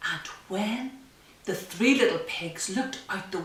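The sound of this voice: Someone reads in an unforced voice.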